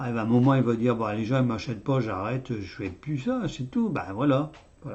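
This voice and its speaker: This man speaks at a medium pitch. His pitch varies in an ordinary way. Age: 60s. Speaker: YouTuber commenting on economics. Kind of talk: casual video monologue. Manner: halting, many hesitations.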